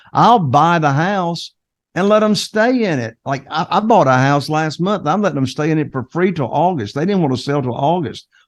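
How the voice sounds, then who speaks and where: At a moderate pace, a man with a fairly high voice and a Carolina Southern accent speaks with lively intonation. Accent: noticeable Carolina Southern. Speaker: real estate investor. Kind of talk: interview podcast.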